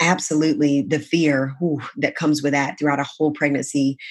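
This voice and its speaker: A woman speaks at a fairly quick pace with a very deep, low pitch. The recording is very clean, with a silent background. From US South, South Carolina. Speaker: sales coach for female entrepreneurs. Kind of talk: casual interview. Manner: animated.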